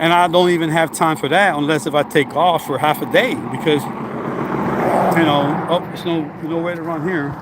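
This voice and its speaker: With noticeable background noise behind him, a man talks at a moderate pace in a fairly high voice with fairly even intonation. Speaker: fitness vlogger, former trucker. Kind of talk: casual vlog while walking and running outdoors.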